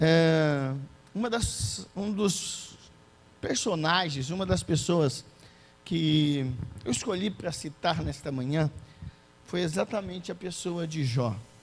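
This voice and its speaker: Fairly high-pitched male speech at a very slow pace, with lively intonation, long, frequent pauses and audible room echo. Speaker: preacher. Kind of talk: sermon. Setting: church.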